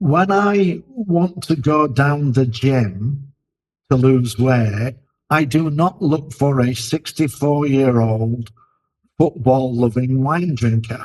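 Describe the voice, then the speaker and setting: At a very slow pace, a man speaks in a medium pitch with ordinary pitch variation and very even loudness. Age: 60s. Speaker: leadership expert, podcast co-host. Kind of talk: casual discussion.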